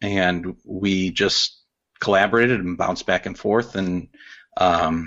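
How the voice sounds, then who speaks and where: A man with an American accent has a plain, everyday voice, fairly low in pitch with fairly even intonation. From Chicago south suburbs. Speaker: animator and illustrator. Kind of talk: casual interview.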